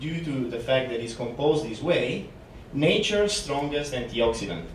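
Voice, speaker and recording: With an Italian accent, a man speaks at a moderate pace and fairly high pitch, his voice making very wide pitch swings amid audible room echo. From Italy. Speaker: company representative presenter. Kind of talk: conference presentation. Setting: conference room seminar.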